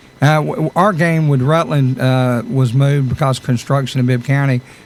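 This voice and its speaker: A Southern US accent at a moderate pace, with fairly even intonation. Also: man. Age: 60s. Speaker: radio host. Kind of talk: radio interview.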